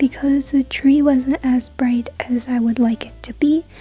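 Music in the background, with a dry sound and no echo. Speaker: craft vlogger. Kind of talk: casual vlog narration.

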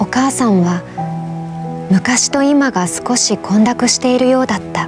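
A woman at a fairly slow pace, with clear music in the background. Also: dry sound with no echo. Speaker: voice actor. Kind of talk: emotional short story reading. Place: studio.

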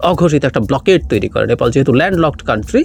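Lively intonation from a man amid noticeable background noise. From Bangladesh, Rangamati district. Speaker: political commentator. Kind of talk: political commentary monologue.

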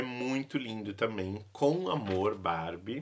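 A man's bright, sharp voice at a very slow pace, with ordinary pitch variation and a quiet background. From Brazil. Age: 30s. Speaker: YouTuber and vintage doll collector; YouTuber. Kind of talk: casual vlog showing a collection. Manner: animated. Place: home room.

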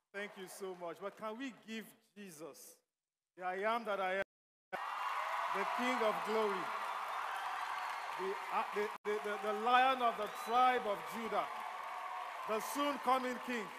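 Crowd noise fills the background as a man talks at a fairly slow pace with ordinary pitch variation and long, frequent pauses. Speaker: guest. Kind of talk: sermon. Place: church. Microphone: headset.

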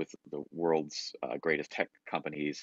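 A man talking at a fairly quick pace, dry sound with no echo, quiet background. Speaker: keynote speaker. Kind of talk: lecture. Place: home room. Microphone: webcam.

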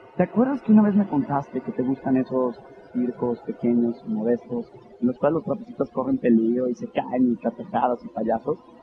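A man speaks with a dry sound and no echo. Noticeable background noise runs underneath. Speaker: stage actor. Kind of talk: theatrical monologue, acted phone call. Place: stage.

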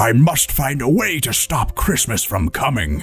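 Using a put-on character voice, a man growls at medium pitch with very wide pitch swings. He keeps a moderate pace, with music in the background. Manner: growling, snarling.

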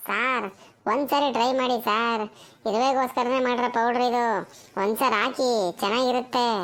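A woman speaks in a cartoonish character voice, pitched high and moving at a fairly slow pace. Her intonation stays flat and monotone. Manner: polite, insistent.

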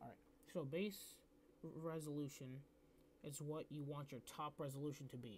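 Quietly, a man speaks at a fairly high pitch with fairly even intonation. He leaves long, frequent pauses. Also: moderate pace. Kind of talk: casual screen-recording tutorial. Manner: hesitant, filler-heavy; quiet, low volume.

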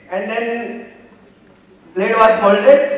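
In a room with strong echo, a man with an Indian accent speaks at an extremely high pitch with fairly even intonation. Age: 60s. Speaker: audience member, engineer; audience member. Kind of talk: personal anecdote in audience Q&A; guest talk anecdote. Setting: stage with audience. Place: hall.

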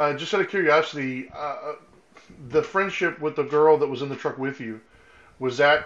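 Long, frequent pauses fill this man's speech. His pitch is fairly high, with ordinary pitch variation. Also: moderate pace. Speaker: podcast co-host. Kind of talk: casual chat. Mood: calm, empathetic. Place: home room. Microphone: video call.

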